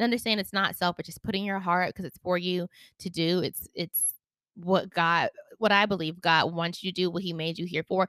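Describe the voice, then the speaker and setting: With an American accent, a woman talks at a fairly quick pace, her medium-pitched voice bright and sharp in tone, the sound dry and close with no echo. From US South, Charlotte, North Carolina. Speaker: podcast host, aspiring singer and actress. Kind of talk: motivational solo podcast.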